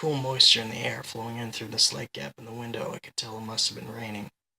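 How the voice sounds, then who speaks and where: This put-on character voice sounds hoarse, gravelly and weary, recorded dry and close with no echo. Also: man. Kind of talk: hard-boiled noir first-person narration. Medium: read story. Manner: weary, brooding.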